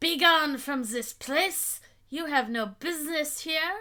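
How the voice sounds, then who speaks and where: In a put-on character voice with a Romanian accent, a woman speaks at a high pitch on a very clean recording with a silent background. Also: fairly slow pace. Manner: menacing, commanding.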